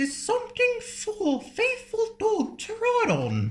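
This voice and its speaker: Squeaky and extremely high, a put-on character voice moves at a fairly slow pace. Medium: read story. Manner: brisk, self-assured.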